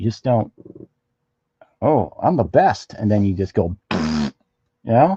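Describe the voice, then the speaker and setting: A man speaks very slowly in a fairly low, somewhat breathy voice with very wide pitch swings and long, frequent pauses, the sound dry and close with no echo. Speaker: comic artist streamer. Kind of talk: casual live-stream chat while drawing. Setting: live stream. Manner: halting, repetitive; usually quiet, talks little.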